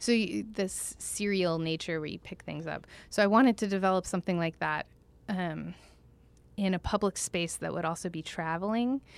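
The recording is very clean, with a silent background. A woman with an American accent uses a plain, everyday voice at a medium pitch. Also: ordinary pitch variation, moderate pace. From Oklahoma (Tulsa). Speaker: dance choreographer. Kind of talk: casual interview chat. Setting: studio.

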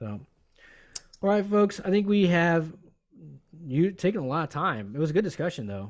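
At a moderate pace, a man with a high pitch speaks with very wide pitch swings. Long, frequent pauses break up his speech. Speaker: podcast co-host. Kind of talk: casual chat.

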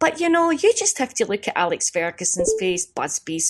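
In a Glaswegian accent, this voice moves at a moderate pace with very wide pitch swings, recorded with a dry, close sound with no echo against a quiet background. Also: woman. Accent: Glaswegian Scottish. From Scotland, East End of Glasgow. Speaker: comedian. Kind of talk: casual interview.

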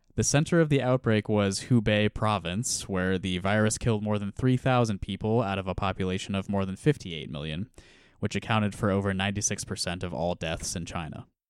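A man with an American accent speaks at a fairly quick pace with fairly low pitch and ordinary pitch variation, an ordinary speaking voice in a very clean recording with a silent background. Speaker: podcast host. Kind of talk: casual chat.

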